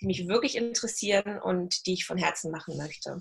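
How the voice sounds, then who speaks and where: An unremarkable speaking voice from a woman, medium in pitch, at a moderate pace with ordinary pitch variation. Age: 40s. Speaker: practice and marketing manager. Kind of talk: interview.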